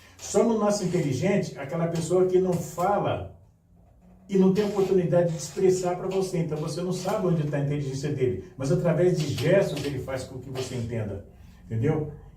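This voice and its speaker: A man speaks at a high pitch and a fairly quick pace. Audible room echo and noticeable background noise accompany him. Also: ordinary pitch variation. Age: 70s. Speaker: filmmaker and carnival artist. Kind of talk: podcast interview.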